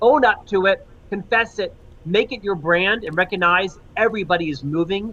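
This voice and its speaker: A man speaks in a raised, projected voice at a high pitch, with ordinary pitch variation and a moderate pace. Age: 50s. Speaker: author and leadership consultant. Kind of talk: interview.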